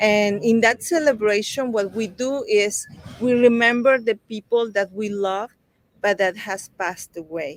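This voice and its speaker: Speaking very slowly with a Mexican accent, a woman uses a fairly high pitch with ordinary variation, and the sound is dry and close with no echo. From Mexico (Veracruz). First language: Spanish. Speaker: children's book author. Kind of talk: interview.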